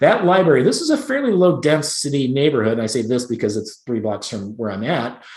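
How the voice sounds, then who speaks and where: Noticeable background noise sits behind a man speaking at a medium pitch with an American accent. His intonation is lively and he leaves hardly any pauses. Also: fairly quick pace. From Chicago. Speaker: real estate agent. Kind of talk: presentation. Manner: fast.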